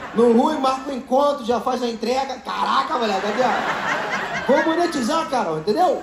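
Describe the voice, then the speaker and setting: A man speaks loudly at an extremely high pitch. Noticeable background noise runs underneath. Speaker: stand-up comedian. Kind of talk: stand-up comedy crowd work, teasing audience members with rapid-fire jokes. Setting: stage with live audience. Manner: loud, projecting to a live room with laughter. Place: stage. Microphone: handheld.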